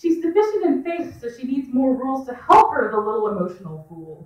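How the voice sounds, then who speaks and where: The speaker is a woman. Her voice moves across a very wide range of pitch. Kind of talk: spoken word reading at a live story hour. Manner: loud.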